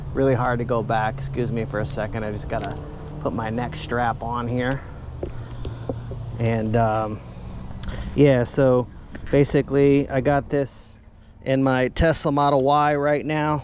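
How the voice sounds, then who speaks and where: Amid noticeable background noise, a man with an American accent speaks at medium pitch and a fairly slow pace, pausing long and often. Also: fairly even intonation. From US Midwest (St. Louis, Missouri). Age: 40s. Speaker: mountain biking vlogger. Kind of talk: casual vlog review. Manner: casual, with many fillers.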